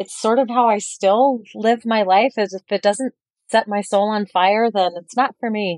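A woman's ordinary speaking voice at medium pitch, with an American accent, at a fairly slow pace, in a dry, close sound with no echo. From Colorado. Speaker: chef. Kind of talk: casual chat.

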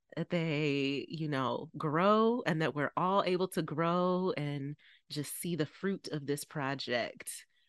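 A woman's very deep, low voice at a very slow pace, dry and close with no echo against a quiet background. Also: ordinary pitch variation. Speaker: podcast co-host. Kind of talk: casual chat.

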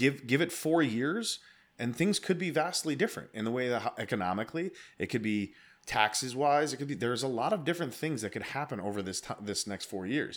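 A man's unremarkable speaking voice of medium pitch with lively intonation, in a very clean recording with a silent background. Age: 30s. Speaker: podcast host, military veteran. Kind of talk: casual chat.

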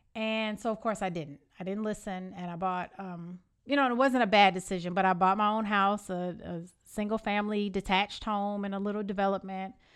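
In an American accent, a woman uses an ordinary speaking voice at medium pitch with fairly even intonation. She goes at a fairly quick pace over a quiet background. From Evanston, Illinois. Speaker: podcast host. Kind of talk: casual interview chat.

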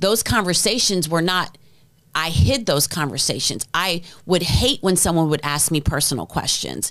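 On a very clean recording with a silent background, a woman with a normal speaking voice and a fairly low pitch speaks at a fairly slow pace with lively intonation. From US, New Jersey then Midwest. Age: 40s. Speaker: venture capital founder, former music executive. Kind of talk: casual interview.

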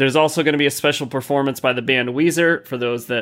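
A man with an unremarkable speaking voice, a fairly high pitch and ordinary pitch variation. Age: 40s. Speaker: gaming podcast host. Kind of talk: casual chat. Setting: live stream.

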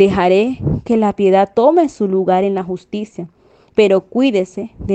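Pitch varying in an ordinary way across an unforced reading voice

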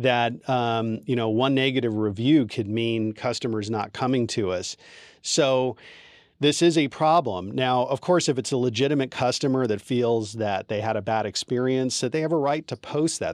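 A man speaks at a moderate pace with ordinary pitch variation and a medium pitch, in an unremarkable speaking voice. The recording is very clean, with a silent background. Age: 50s. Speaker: divorce attorney. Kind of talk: interview.

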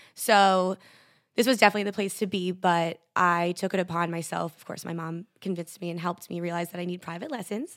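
In an American accent, a woman talks at a fairly quick pace with a fairly low pitch and big swings in loudness. The recording is very clean, with a silent background. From Connecticut, US. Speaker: dance teacher. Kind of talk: casual interview. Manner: animated.

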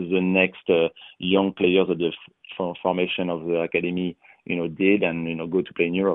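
A man speaks in a very deep, low voice with a French accent. His intonation is monotone and flat. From France. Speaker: retired pro soccer player and broadcaster. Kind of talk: interview.

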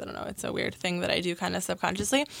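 This woman has a bright, sharp tone and an American accent. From Connecticut. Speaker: singer-songwriter. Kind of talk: radio interview.

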